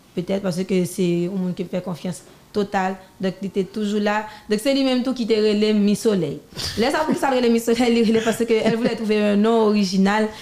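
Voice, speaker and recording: A woman's normal speaking voice, fairly high in pitch, with ordinary pitch variation and a fairly quick pace. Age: 20s. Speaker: singer and designer. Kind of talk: interview. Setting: studio.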